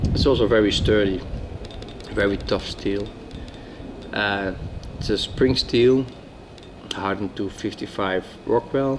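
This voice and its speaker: Noticeable background noise runs under a man speaking at a fairly slow pace, with long, frequent pauses. His pitch is fairly low, with ordinary variation. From Netherlands. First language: Dutch. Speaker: former soldier, outdoor hobbyist. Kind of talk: casual product talk to camera.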